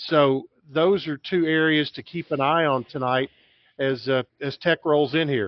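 With a normal speaking voice, a man talks at a fairly slow pace, his pitch fairly high and his intonation fairly even. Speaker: sports broadcaster. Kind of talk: casual sports talk.

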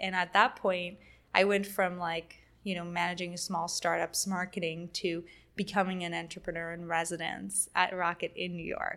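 Bright and sharp in tone, a woman speaks at a fairly low pitch with monotone, flat intonation. Her pace is moderate in a very clean recording with a silent background. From Quebec, Montreal. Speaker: startup founder and CEO. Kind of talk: casual interview chat. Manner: frequent laughter and filler words.

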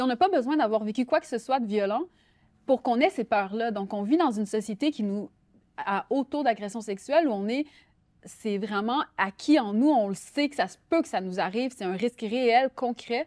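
A woman with an ordinary speaking voice talks at a fairly high pitch with lively intonation. The background is quiet, and the sound is dry and close with no echo. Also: moderate pace. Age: 30s. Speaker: writer. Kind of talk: interview.

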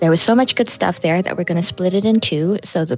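A woman's normal speaking voice with a Canadian accent, fairly low in pitch, with ordinary pitch variation. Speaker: podcast host and meetup moderator. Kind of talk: moderated panel discussion. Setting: live meetup in a comic book store.

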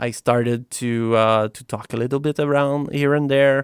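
On a very clean recording with a silent background and a dry, close sound with no echo, a man with a Quebec accent speaks at a fairly slow pace with fairly even intonation. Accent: Québécois French. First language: French. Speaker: software founder. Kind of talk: casual chat.

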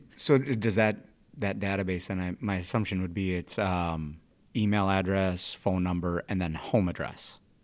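Recorded very cleanly against a silent background, a man with a very deep, low pitch talks at a moderate pace with ordinary pitch variation. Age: 40s. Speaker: police officer and podcast host. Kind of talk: casual interview chat.

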